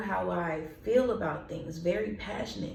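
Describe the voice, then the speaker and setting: Talking at a fairly slow pace, a woman sounds animated, and audible room echo surrounds her voice. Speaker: vlogger and artist. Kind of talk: casual vlog monologue. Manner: passionate, can sound angry.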